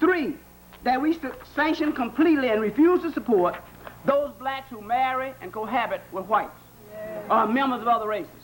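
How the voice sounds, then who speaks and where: Over noticeable background noise, a man with a Southern US accent speaks at an extremely high pitch and a moderate pace, with lively intonation and big swings in loudness. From American South. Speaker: psychologist and lecturer. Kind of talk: public lecture.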